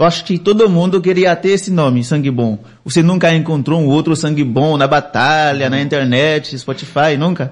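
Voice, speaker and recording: A plain, everyday voice from a man, fairly high in pitch, with ordinary pitch variation, hardly any pauses and very even loudness. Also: moderate pace. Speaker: web radio host. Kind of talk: casual interview chat.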